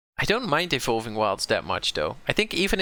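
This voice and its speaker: A man speaks with a strong Dutch accent and a bright, sharp tone, his pitch swinging very widely. The recording is very clean, with a silent background. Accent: Dutch accent, fairly strong. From southern Netherlands, North Brabant. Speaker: game streamer. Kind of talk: live gameplay commentary. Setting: live stream. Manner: casual, thinking aloud with hesitations.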